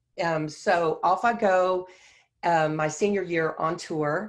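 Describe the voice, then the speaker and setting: In a very clean recording with a silent background, a woman with a Texan accent speaks with a fairly low pitch and fairly even intonation. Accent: Texan (US South). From Texas (Beaumont). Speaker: Broadway choreographer and dancer. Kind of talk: guest talk, personal career story.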